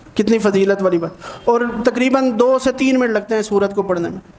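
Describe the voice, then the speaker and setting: This man's voice sits at an extremely high pitch. His intonation stays fairly even. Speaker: Islamic scholar. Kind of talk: religious sermon.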